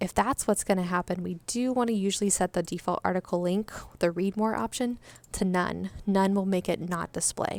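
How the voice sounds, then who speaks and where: In a very clean recording with a silent background, a woman of medium pitch speaks with fairly even intonation. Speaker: web support tutor. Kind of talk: tutorial. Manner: fast; casual, hesitant with fillers.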